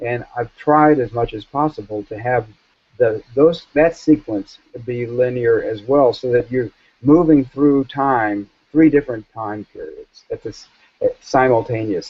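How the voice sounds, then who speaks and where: A man's normal speaking voice at medium pitch, with an American accent, a fairly slow pace, ordinary pitch variation and big swings in loudness. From US South. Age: 60s. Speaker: author and journalist. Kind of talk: interview.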